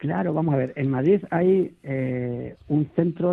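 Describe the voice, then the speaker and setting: His pitch shifts in an ordinary way. The man talks at a fairly high pitch. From small village in Toledo, Spain. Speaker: food industry association director. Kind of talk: radio interview. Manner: halting, many repetitions.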